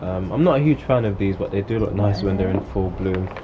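Noticeable background noise sits under a man's voice. He talks at a fairly quick pace with a fairly low pitch and ordinary pitch variation. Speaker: channel host. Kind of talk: casual vlog chat. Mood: relaxed, friendly. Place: garden.

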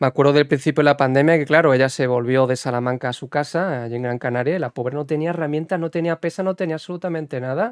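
A man's very fast, fairly high-pitched speech with ordinary pitch variation, hardly any pauses, dry sound with no echo, and a quiet background. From Spain. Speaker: podcast host and basketball video game streamer; podcast host, basketball video game streamer. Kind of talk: interview. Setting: livestream podcast. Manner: animated. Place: home room. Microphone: studio mic.

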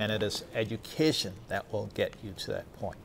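With an American accent, a man speaks at a moderate pace in a fairly low pitch, over light background noise. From Baltimore, Maryland. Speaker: college president and show host; show host. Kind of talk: monologue to camera; casual interview. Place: hall.

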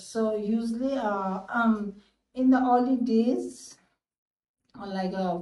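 At a very slow pace, a woman speaks in a dark, mellow tone with fairly even intonation, big swings in loudness, long, frequent pauses and audible room echo. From Nepal. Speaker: gynecologist. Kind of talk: interview answer. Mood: calm, explanatory. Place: office. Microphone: phone near.

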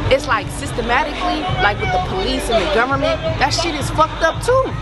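A woman at a fairly quick pace over loud music in the background, dry sound with no echo. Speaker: interviewee. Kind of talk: interview answer. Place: street.

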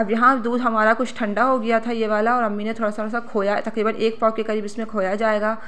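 A woman with a fairly high voice, monotone, flat intonation, a moderate pace and hardly any pauses, in audible room echo. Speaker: family vlogger and home cook. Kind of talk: vlog narration with recipe tutorial. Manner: casual, chatty.

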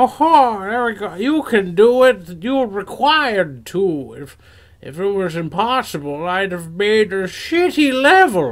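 In a put-on character voice, a man speaks at a fairly slow pace and a high pitch, on a very clean recording with a silent background. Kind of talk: comic overacting. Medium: game stream. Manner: evasive, sarcastic, dismissive; callous and amused.

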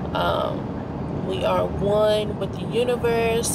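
Against loud background noise, a woman's voice comes through dry with no echo. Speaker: vlogger. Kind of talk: casual vlog chat. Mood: calm, affirming, grateful. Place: car. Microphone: phone near.

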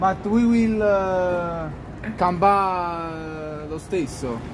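Over noticeable background noise, a man talks at a high pitch with ordinary pitch variation. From Naples. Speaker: balcony joker. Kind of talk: casual banter shouted from a balcony. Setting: outdoors. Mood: playful teasing. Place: home room. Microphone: phone near.

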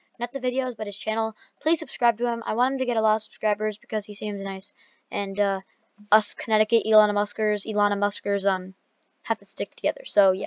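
At a very fast pace, a woman talks in a fairly high pitch with fairly even intonation, the sound dry and close with no echo. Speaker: gaming YouTuber. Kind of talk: reaction video commentary. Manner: casual, rambling.

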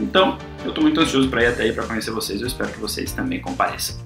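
With clear music behind him, a man talks at a very fast pace. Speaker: voice actor. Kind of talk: casual invitation message to fans. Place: home room. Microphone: webcam.

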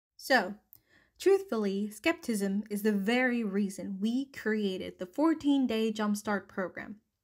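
In a normal speaking voice, a woman with a fairly high pitch talks at a fairly slow pace with ordinary pitch variation. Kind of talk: infomercial read.

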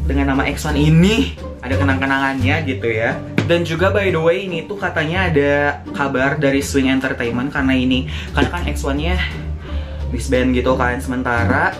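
Over clear background music, a man speaks fairly quickly in a fairly low pitch. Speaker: fan vlogger. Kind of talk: casual vlog chat. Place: home room.

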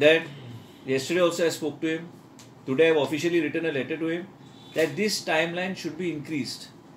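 Light noise sits in the background. The speaker is a man. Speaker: politician addressing the press. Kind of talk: press statement. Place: office. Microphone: handheld.

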